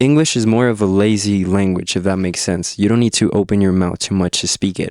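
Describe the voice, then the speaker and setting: Speaking very fast with a Spanish accent, a man uses a fairly low pitch and fairly even intonation on a very clean recording with a silent background. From Mexico. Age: 20s. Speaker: musician. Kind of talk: interview. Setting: studio. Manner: halting.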